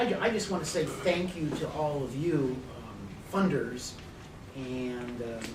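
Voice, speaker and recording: In an American accent, a man speaks at a very slow pace amid audible room echo and noticeable background noise. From Arizona (Phoenix). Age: 60s. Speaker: political analyst / speaker. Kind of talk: conference talk. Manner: halting, many fillers.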